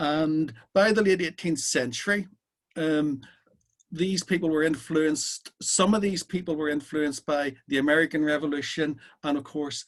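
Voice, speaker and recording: This man has a Belfast accent and a fairly high pitch. He talks at a moderate pace with ordinary pitch variation. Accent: Belfast Irish, sometimes a bit strong. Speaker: socialist speaker. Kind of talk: talk at an online political meeting.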